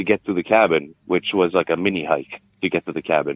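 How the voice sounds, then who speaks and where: Speaking at a fairly quick pace, a man uses a very deep, low pitch and fairly even intonation. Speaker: interview guest sharing sighting. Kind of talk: interview storytelling. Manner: hesitant, many fillers.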